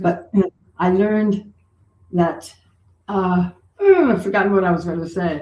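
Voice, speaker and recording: Somewhat breathy, a woman of medium pitch talks at a fairly slow pace with fairly even intonation and long, frequent pauses. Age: 80s+. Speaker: author. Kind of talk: interview answer.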